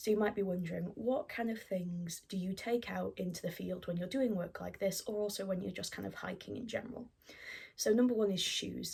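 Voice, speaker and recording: In a British accent, a woman with a medium-pitched, somewhat breathy voice talks at a moderate pace with ordinary pitch variation. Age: 20s. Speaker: student and scout vlogger. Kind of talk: vlog-style documentary narration; tutorial. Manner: casual with frequent fillers.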